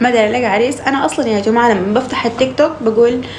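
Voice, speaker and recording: A woman's voice with a Sudanese accent and fairly even intonation, amid audible room echo and noticeable background noise. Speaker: social media live streamer. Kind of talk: casual live-stream chat. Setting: TikTok live stream.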